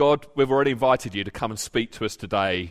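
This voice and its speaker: An ordinary speaking voice with ordinary pitch variation comes through in a very clean recording over a silent background. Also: man. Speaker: preacher. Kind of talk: sermon; fervent prayer in a sermon. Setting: church. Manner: earnest, pleading, heartfelt; measured, sincere.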